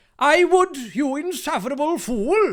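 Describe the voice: A man in a put-on character voice with an extremely high pitch. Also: moderate pace.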